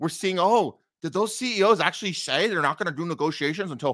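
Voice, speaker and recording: The man's tone is bright and sharp, his pace moderate, and the background quiet. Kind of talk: livestream commentary. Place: home room. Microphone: studio mic.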